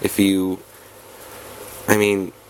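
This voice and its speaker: Against noticeable background noise, a man talks at a fairly low pitch. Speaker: card game content creator. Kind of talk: tutorial. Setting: home recording, no proper setup. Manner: casual, halting with restarts.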